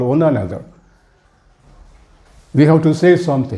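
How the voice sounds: This man has lively intonation. His pitch is fairly high. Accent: Indian.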